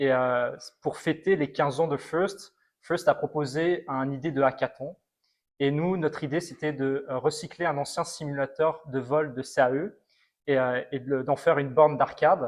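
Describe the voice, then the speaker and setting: A man with an ordinary speaking voice, fairly high in pitch for a man. He keeps a moderate pace and fairly even intonation over a quiet background. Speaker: robotics alumnus. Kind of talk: testimony interview.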